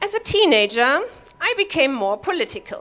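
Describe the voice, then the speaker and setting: A woman speaks with a German accent. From Germany. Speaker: comedy workshop participant. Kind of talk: stand-up. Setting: stage with audience.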